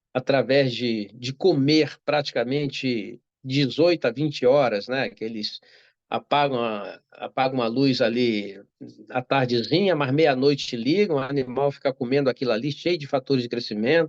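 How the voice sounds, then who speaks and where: A man at medium pitch speaks at a moderate pace with ordinary pitch variation, in a dry, close sound with no echo against a quiet background. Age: 60s. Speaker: doctor. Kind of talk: interview. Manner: halting.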